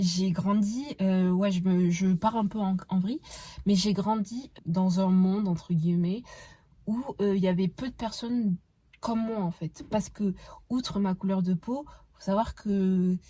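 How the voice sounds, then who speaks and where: A woman with a dark, mellow tone speaks in a somewhat breathy way at a fairly slow pace, with ordinary pitch variation. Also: medium pitch for a woman. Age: 20s. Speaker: podcast host. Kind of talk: casual monologue. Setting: in a car. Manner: hesitant, many fillers.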